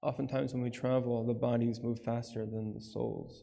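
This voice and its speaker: This man's medium-pitched voice has a dark, mellow tone and a monotone, flat intonation, with audible room echo in the recording. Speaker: Islamic lecturer at a retreat. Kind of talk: lecture.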